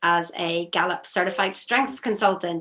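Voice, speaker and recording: In a Northern Irish accent, a woman speaks at a medium pitch and a moderate pace. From Northern Ireland. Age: 50s. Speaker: strengths consultant. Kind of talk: interview.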